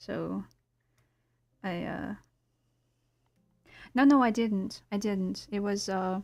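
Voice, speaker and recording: Soft-spoken, a woman with a Russian accent talks at a very slow pace, with long, frequent pauses and big swings in loudness, in a very clean recording against a silent background. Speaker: illustrator streamer. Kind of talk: casual live-stream chat. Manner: monotone.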